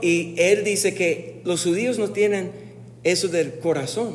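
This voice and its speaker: Someone talks at a very slow pace with ordinary pitch variation, and the room echo is audible under noticeable background noise. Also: man. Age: 40s. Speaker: pastor. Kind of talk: sermon.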